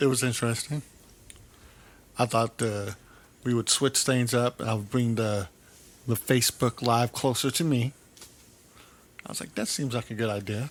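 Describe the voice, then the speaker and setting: A soft-spoken man speaks at a moderate pace with a medium pitch. His intonation is fairly even, broken by long, frequent pauses. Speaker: pastor. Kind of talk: casual chat.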